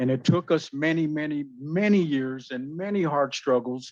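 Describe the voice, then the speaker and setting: A man's normal speaking voice, fairly high in pitch, with ordinary pitch variation at a moderate pace against a quiet background. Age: 60s. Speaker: resident speaking at council. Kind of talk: public comment at council meeting. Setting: city council meeting.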